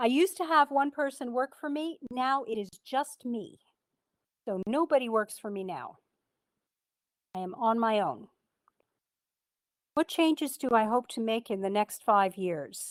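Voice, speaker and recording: Her voice high in pitch, a woman swings through very wide pitch changes at a moderate pace with long, frequent pauses, in a dry, close sound with no echo. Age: 60s. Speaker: beekeeper and speaker. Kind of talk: club talk, casual.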